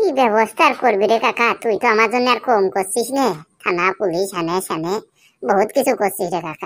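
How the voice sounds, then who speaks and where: Using a cartoonish character voice, a woman speaks fairly quickly at a fairly high pitch. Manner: mournful, rustic dialect.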